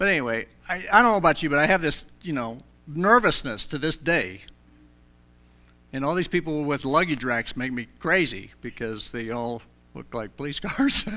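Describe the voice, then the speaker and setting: The voice has a bright, sharp tone and moves at a moderate pace, with very wide pitch swings and big swings in loudness. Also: man, fairly high pitch for a man. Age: 60s. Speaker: pastor. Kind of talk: sermon. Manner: halting, many fillers and repeats.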